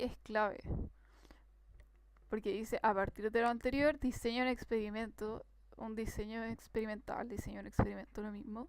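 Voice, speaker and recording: A woman's fairly high voice at a moderate pace. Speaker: tutor. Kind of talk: tutorial. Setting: live stream.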